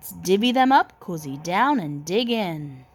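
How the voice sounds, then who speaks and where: A female-sounding put-on character voice speaks at a fairly slow pace and a medium pitch. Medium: read story.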